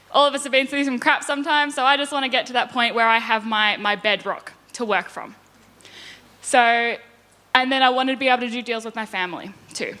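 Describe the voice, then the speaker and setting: Very fast Australian-accented speech with ordinary pitch variation and a bright, sharp tone. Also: woman, high pitch for a woman. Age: 20s. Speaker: property investor. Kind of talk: conference presentation.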